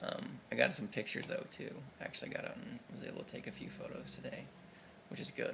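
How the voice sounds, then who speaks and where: Over noticeable background noise, someone with an American accent speaks at a very fast pace. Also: man. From US Midwest. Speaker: video blogger. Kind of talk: casual video diary. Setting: indoors at home by a window. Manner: hesitant, many fillers.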